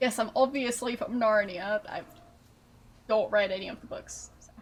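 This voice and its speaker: The voice is somewhat breathy, moving at a moderate pace with fairly even intonation and big swings in loudness. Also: woman, fairly high pitch for a woman. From Austria. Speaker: streamer. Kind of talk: casual chat. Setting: live stream.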